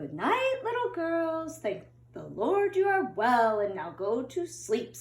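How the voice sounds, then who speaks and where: A woman's put-on character voice, high in pitch and at a fairly slow pace. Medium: read story. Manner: gentle.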